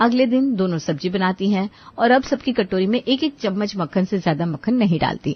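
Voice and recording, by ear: Lively intonation and a slightly husky edge mark a woman's medium-pitched voice at a fairly quick pace.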